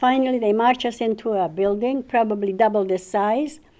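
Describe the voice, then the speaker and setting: Her voice has a fairly high pitch and a dark, mellow tone. The woman speaks at a moderate pace with ordinary pitch variation. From Czechoslovakia. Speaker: Holocaust survivor. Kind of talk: testimony. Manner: halting.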